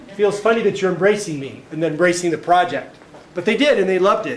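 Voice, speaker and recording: A man with an American accent at a very fast pace, ordinary pitch variation, audible room echo and noticeable background noise. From Southern California. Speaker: art professor. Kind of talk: artist talk lecture. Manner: casual, conversational.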